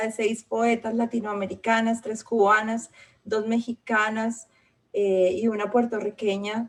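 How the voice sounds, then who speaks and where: Her pitch is fairly high and her intonation monotone and flat. The woman talks at a fairly slow pace. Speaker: host / moderator of a literary festival panel. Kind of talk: event welcome / moderation.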